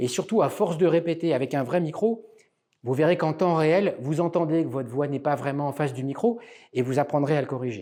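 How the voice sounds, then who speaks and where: This man's dark, mellow tone sits at a fairly high pitch, moving with ordinary variation at a fairly quick pace on a very clean recording with a silent background. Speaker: public speaking coach. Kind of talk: tutorial.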